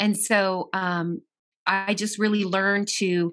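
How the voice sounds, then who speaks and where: A woman with a plain, everyday voice and ordinary pitch variation is heard on a very clean recording with a silent background. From US, child of Italian and Argentine immigrants. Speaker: minister and personal trainer, author. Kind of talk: casual interview.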